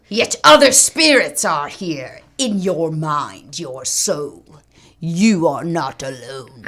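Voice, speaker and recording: At a very slow pace, the speaker uses a put-on character voice at a middle pitch. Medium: audio drama. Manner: proud, vengeful.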